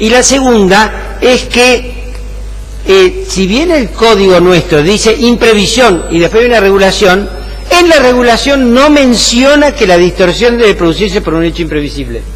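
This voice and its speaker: Fairly slow speech from a man, with clear room echo and background noise that stands out. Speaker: law professor. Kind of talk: lecture. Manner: frequent fillers (eh, ¿mm? ¿tá?).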